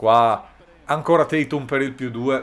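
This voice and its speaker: Ordinary variation marks the medium-pitched voice of this man. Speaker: sports YouTuber. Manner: animated, energetic.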